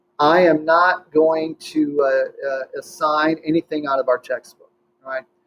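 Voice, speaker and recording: The speech comes at a fairly slow pace with fairly even intonation and a dry, close sound with no echo. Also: man. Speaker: high school chemistry teacher. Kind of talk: recorded class introduction. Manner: hesitant, many filler words.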